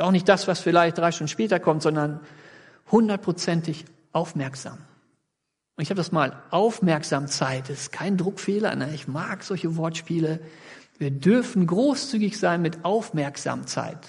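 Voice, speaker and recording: Over a quiet background, a man speaks at a fairly slow pace with a high pitch and ordinary pitch variation. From Sauerland region, western Germany. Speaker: pastor. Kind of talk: sermon.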